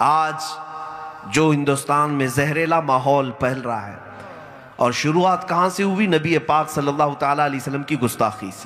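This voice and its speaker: Noticeable background noise sits behind a man with a fairly high voice. His pitch varies in an ordinary way while his loudness swings widely. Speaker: Islamic scholar giving a sermon. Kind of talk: passionate Islamic sermon. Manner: emotional, oratorical, rhetorical questions.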